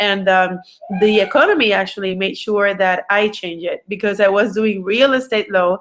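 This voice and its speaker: A woman speaks with a Puerto Rican accent. Her pace is moderate and her intonation fairly even. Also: medium pitch for a woman. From Puerto Rico. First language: Spanish. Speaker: entrepreneur and business coach. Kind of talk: online webinar presentation. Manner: halting, many fillers.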